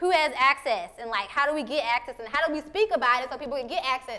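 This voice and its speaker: Raising and projecting her high-pitched voice, a woman speaks at a fairly quick pace with ordinary pitch variation. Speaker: photographer and artist giving a talk. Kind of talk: talk with audience Q&A. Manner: halting, many fillers and repetitions.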